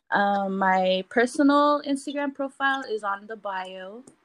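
Speaking with a Palauan accent, a woman uses ordinary pitch variation, her voice dry and close with no echo over a quiet background. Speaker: artist and entrepreneur. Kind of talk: casual interview.

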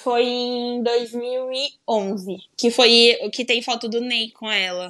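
Fairly high-pitched and bright, sharp in tone, a woman speaks very slowly with fairly even intonation. The recording is very clean, with a silent background. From Brazil, Baixada Santista (São Paulo coast). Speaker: football podcaster. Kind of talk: casual chat.

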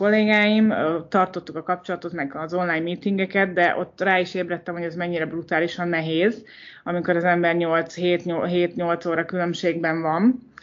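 Here a woman speaks in an unremarkable speaking voice at a moderate pace. Her pitch is fairly low and her intonation fairly even. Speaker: entrepreneur. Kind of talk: interview.

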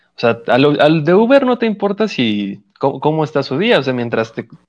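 Against a quiet background, a man talks at a fairly quick pace. His fairly high pitch moves in very wide swings. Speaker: podcast co-host. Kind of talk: casual chat.

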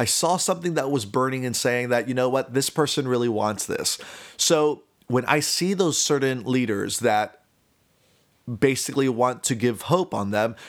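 In an American accent, a man talks at a moderate pace and medium pitch with ordinary pitch variation. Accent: Miami Cuban American English. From US, Miami (Cuban American). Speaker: podcast host. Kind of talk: casual monologue.

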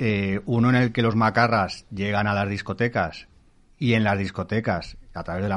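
Here is a man with a plain, everyday voice and a fairly low pitch. His intonation is fairly even, and the background is quiet. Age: 40s. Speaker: writer and former musician. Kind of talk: casual chat. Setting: studio.

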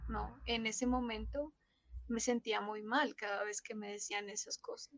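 Heard in a dry, close sound with no echo, a woman speaks at a fairly slow pace. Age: 20s. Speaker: social worker and bereaved mother. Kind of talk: testimony.

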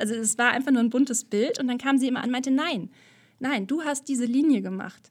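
A woman speaks very fast in a high voice with ordinary pitch variation. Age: 30s. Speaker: artist and podcaster. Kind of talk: casual interview. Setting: video call.

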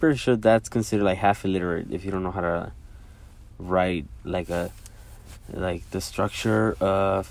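A man speaks at a moderate pace in a very deep, low pitch. His pitch variation is ordinary. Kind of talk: solo rambling voice memo. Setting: recording himself alone. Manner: rambling, halting, filler words; casual, self-deprecating.

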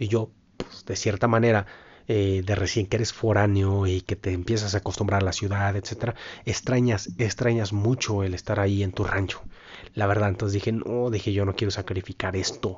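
In a somewhat breathy, fairly low voice, a man talks at a moderate pace with monotone, flat intonation. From Mexico, Michoacán (Puruándiro). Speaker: podcaster. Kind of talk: casual monologue.

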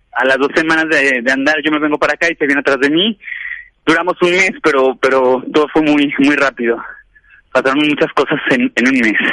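A man with a plain, everyday voice talks at a fairly quick pace and fairly high pitch, his intonation fairly even and loudness very even, in a dry, close sound with no echo. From León, Guanajuato, central Mexico. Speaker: radio show caller. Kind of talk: casual chat.

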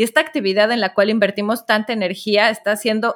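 A woman speaks at a moderate pace in a Mexican accent. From Mexico. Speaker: entrepreneur and author. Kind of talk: interview.

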